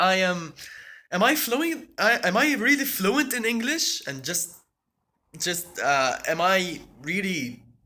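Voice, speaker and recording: Raising and projecting his voice, a man speaks at a high pitch with a bright, sharp tone and very wide pitch swings. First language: Arabic. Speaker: tech YouTuber. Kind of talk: live stream chat. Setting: at home, apartment. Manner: halting, many repetitions.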